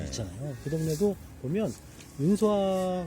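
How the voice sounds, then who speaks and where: A man speaks at a fairly high pitch with very wide pitch swings. Noticeable background noise can be heard. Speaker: election candidate (minor left-wing party). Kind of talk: casual conversational talk beside a campfire.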